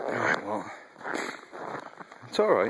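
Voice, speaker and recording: A man at a fairly slow pace, against noticeable background noise. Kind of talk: casual talk to animals while filming. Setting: outdoors.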